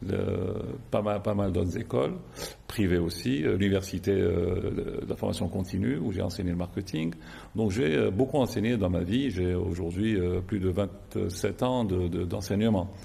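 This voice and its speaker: A man talks at a fairly slow pace in a very deep, low pitch with ordinary pitch variation. His tone is dark and mellow, and somewhat breathy. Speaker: insurance company executive. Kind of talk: TV interview. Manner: halting, many hesitations.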